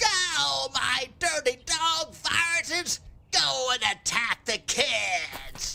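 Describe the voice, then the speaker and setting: In a put-on character voice, someone speaks at a very slow pace with a high pitch. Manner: melodramatic villainous.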